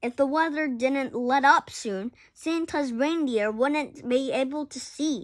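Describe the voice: Her voice is high in pitch with ordinary pitch variation, and she talks at a slow pace.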